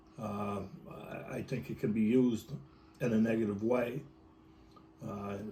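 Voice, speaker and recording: A man's medium-pitched voice with ordinary pitch variation, a fairly slow pace, long and frequent pauses, and noticeable background noise. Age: 60s. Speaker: electronics technician and union president. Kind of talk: interview. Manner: halting, many fillers and repetitions.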